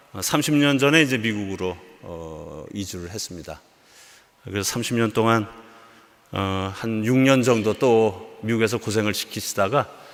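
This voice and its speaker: A man speaks in a plain, everyday voice at a fairly low pitch. His pace is fairly slow, with ordinary pitch variation and big swings in loudness. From South Korea. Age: 60s. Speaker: missionary. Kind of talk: sermon.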